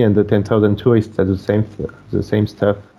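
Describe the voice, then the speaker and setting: Speaking with a French accent, a man with a fairly low pitch is heard over noticeable background noise. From France, near Bordeaux. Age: 30s. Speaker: wedding photographer. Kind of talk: casual chat. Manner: halting.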